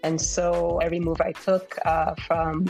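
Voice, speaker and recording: Noticeable background noise sits behind a woman with an American accent whose fairly low voice has monotone, flat intonation. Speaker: insurance executive. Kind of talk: interview. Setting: podcast interview. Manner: halting, frequent repetitions.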